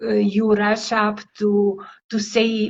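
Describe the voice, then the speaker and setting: A woman's fairly high-pitched voice with a non-native accent. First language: not English. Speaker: language coach. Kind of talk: interview.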